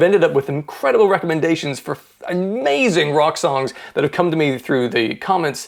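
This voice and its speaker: At a fairly quick pace, a man talks with lively intonation in a fairly high pitch. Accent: American. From mixed: Ireland, Scotland, US, England. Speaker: podcast host and music YouTuber. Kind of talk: scripted monologue introduction.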